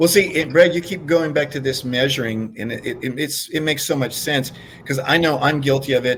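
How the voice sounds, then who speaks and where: A man with a plain, everyday voice speaks at a fairly quick pace in a fairly high pitch with ordinary pitch variation. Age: 60s. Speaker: fitness co-host. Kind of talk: casual chat.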